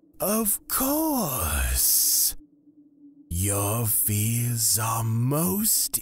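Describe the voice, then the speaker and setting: A man's put-on character voice at a medium pitch. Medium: audio drama. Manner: measured, formal.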